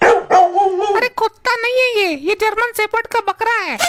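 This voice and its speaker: An extremely high, cartoonish character voice moves at a moderate pace. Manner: wheedling, smug.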